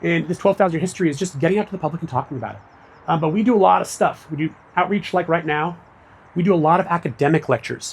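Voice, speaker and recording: A man talks at a very fast pace and high pitch with ordinary pitch variation, recorded very cleanly against a silent background. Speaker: public archaeology director giving a talk. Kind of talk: public lecture.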